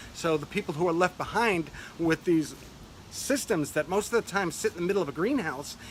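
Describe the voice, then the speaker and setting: A man's high-pitched voice at a very even loudness. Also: ordinary pitch variation, fairly quick pace. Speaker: urban farming grower and channel host. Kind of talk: video monologue. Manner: fast.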